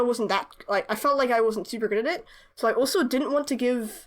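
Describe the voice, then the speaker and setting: Lively intonation from a woman with a high pitch. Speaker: webcomic artist and YouTuber. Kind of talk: casual chat while drawing. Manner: fast; halting, many fillers and restarts.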